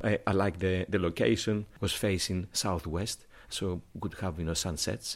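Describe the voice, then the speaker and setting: Speaking at a fairly slow pace with a Greek accent, this man has a very deep, low pitch, vocal fry and ordinary pitch variation. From Greece. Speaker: chef. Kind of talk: round-table discussion. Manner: halting.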